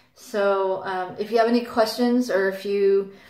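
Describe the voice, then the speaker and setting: A woman speaks at a fairly slow pace against a quiet background, with audible room echo. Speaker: vlogger sharing birth experiences. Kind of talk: casual vlog monologue. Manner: hesitant, many fillers. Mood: calm, warm sign-off. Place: home room. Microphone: phone near.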